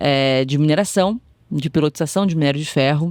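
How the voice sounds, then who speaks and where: In a dry, close recording with no echo, a woman speaks at a moderate pace with ordinary pitch variation and an Espírito Santo accent. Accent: Capixaba (Espírito Santo). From Brazil, Espírito Santo. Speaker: tech executive. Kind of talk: podcast interview.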